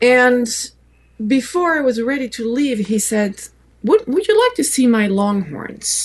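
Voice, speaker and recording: A woman speaks in a French accent with a high pitch and lively intonation. Her pace is fairly slow. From France. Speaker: photographer and author. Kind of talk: interview answer.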